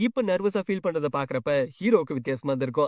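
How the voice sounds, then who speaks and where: A man talks with lively intonation. The sound is dry and close, with no echo. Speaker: manhwa explainer. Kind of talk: story recap narration. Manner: casual, conversational.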